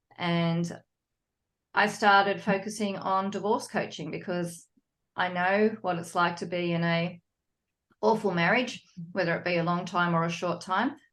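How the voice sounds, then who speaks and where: The voice carries a Sydney accent, fairly even intonation and a moderate pace. Long, frequent pauses sit against a quiet background. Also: woman, medium pitch for a woman. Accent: Sydney, Australian. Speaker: psychologist and divorce coach. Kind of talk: podcast interview.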